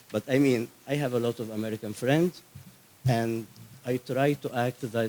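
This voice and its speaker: With an Egyptian accent, a man speaks at a fairly slow pace in a dry, close sound with no echo. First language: Arabic. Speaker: Coptic activist. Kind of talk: conference speech.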